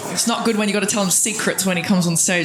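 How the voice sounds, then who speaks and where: A woman is speaking. Room echo can be heard, along with noticeable background noise. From Australia. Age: 30s. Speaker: comedian. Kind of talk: stand-up. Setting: stage with audience. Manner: animated.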